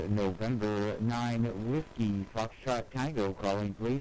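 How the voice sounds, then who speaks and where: Very slowly, a man speaks in a dark, mellow tone with fairly even intonation. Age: 60s. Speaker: amateur radio operator. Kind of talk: ham radio contact exchange. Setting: amateur radio transmission. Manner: formal.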